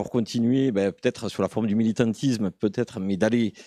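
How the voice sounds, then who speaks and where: In a southern French accent, a man with a dark, mellow tone and fairly low pitch speaks with fairly even intonation, the sound dry and close with no echo. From rural southern France. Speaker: conference audience member. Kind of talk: conference Q&A comment.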